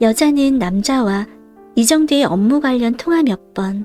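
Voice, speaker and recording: A woman with a high pitch speaks at a fairly slow pace. Her pitch varies in an ordinary way while music plays behind her. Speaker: audiobook reader. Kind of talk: audiobook reading, sleep-time listening. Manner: soft, calm, slow narration.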